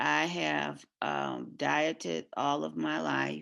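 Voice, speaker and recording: Against a quiet background, a woman is speaking. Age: 60s. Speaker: special education teacher. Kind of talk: testimony. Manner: halting, many fillers.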